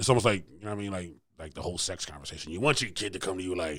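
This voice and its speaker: A man talks at a very fast pace with a very deep, low pitch. His tone is animated, with ordinary pitch variation. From Philadelphia, US. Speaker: podcast host. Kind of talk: casual chat.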